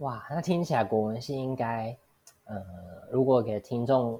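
A woman speaks fairly slowly in a very deep, low voice with a dark, mellow tone and ordinary pitch variation. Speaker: podcast host. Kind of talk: casual interview. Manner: halting, many fillers.

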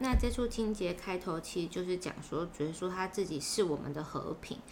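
Over noticeable background noise, a woman speaks with lively intonation at a fairly low pitch. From Taiwan, Chiayi. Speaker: Bible reading podcast co-host. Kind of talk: casual Bible study discussion.

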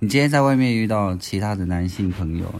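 A man talks at a moderate pace in an ordinary speaking voice, fairly low in pitch. The recording is very clean, with a silent background. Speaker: navy veteran. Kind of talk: casual chat.

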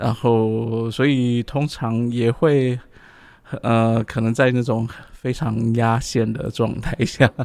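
Speaking very slowly with long, frequent pauses, a man holds a medium pitch in a flat monotone. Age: 40s. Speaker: podcast co-host. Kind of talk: casual chat.

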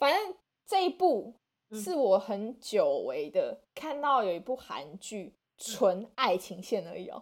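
A woman at a high pitch, very slow in pace, with very wide pitch swings and big swings in loudness. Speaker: podcast host. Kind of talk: casual chat.

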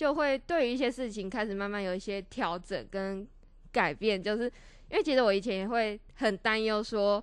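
A woman speaks against a quiet background. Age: 20s. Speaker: social work student. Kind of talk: casual interview chat.

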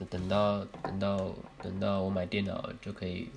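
A man speaks in a very deep, low voice with flat, monotone intonation. Room echo is audible. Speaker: podcast co-host. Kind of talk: casual chat. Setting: recording at co-host's home.

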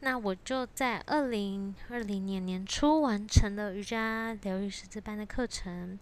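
Fairly slowly, a woman speaks in a plain, everyday voice at a medium pitch with ordinary pitch variation. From Taiwan. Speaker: yoga teacher and podcast host. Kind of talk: solo podcast monologue.

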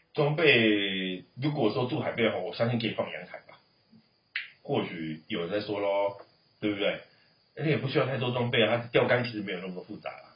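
A man's unremarkable speaking voice at medium pitch, fairly quick, with ordinary pitch variation and big swings in loudness. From Taiwan. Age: 40s. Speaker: uncle of the child host. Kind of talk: casual chat with a child.

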